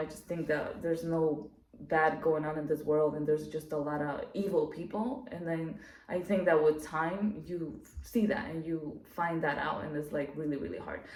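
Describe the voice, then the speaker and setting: Through noticeable background noise and audible room echo, a woman with a non-native accent speaks at a moderate pace in a very deep, low voice with ordinary pitch variation. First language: not English. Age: adult. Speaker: YouTuber. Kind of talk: casual monologue to camera. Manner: talkative, many fillers.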